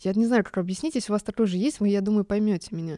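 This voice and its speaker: This woman's voice sits at a medium pitch, dark and mellow in tone, and shaky. The recording is very clean with a silent background, and the sound is dry and close with no echo. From Germany. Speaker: music podcast host. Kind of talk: casual monologue. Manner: emotional, trembling voice.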